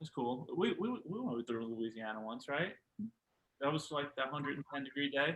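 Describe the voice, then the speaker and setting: A man speaks in a New York accent with a fairly high pitch. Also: ordinary pitch variation, moderate pace. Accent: New York City. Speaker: powerlifter. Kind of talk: podcast conversation.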